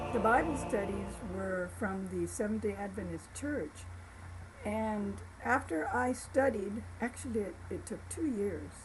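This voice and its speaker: Noticeable background noise and audible room echo surround the recording. A woman talks at a fairly slow pace with an American accent. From Florida, Tampa (Ybor City), Cuban family. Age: 70s. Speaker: church member giving life story. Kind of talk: testimony. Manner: halting, with repetitions and fillers.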